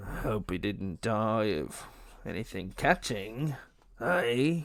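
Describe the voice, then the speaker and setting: A man puts on a character voice that is raspy, at a medium pitch. He speaks very slowly with very wide pitch swings. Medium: read story. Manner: cackling, wheedling.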